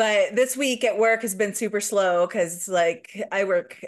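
A woman with a slight Midwestern US accent speaks at a fairly slow pace. Her intonation is fairly even over a quiet background. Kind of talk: casual chat.

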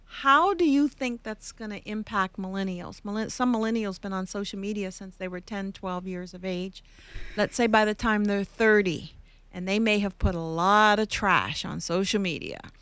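In a very clean recording with a silent background, a woman with an unremarkable speaking voice talks at a moderate pace, using ordinary pitch variation and big swings in loudness. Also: medium pitch for a woman. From Canada. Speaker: podcast host, workplace commentator. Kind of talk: interview podcast.

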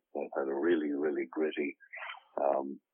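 A man with an Irish accent. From Ireland. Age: 30s. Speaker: actor and author. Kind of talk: interview. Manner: halting.

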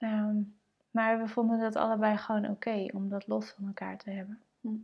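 Somewhat breathy, a woman speaks at a medium pitch. Her pace is moderate. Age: 30s. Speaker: mother and blogger. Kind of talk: personal testimony.

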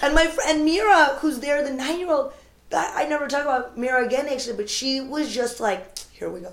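In an American accent, a woman with a high pitch talks at a fairly quick pace with lively intonation and big swings in loudness, and audible room echo surrounds her. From United States. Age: 30s. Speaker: comedian. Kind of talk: casual chat.

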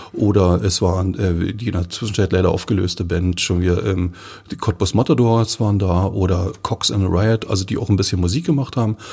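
Ordinary pitch variation at a fairly quick clip. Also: man, very deep, low pitch for a man. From Forst, Lusatia, eastern Germany. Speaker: magazine editor-in-chief. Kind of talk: casual interview.

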